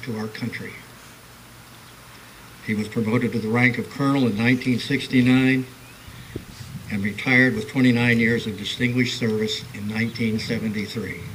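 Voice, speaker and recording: This man has a medium pitch and flat, monotone intonation, speaking fairly quickly but with long, frequent pauses. Background noise is noticeable. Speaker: retired Air Force colonel. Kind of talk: speaker introduction.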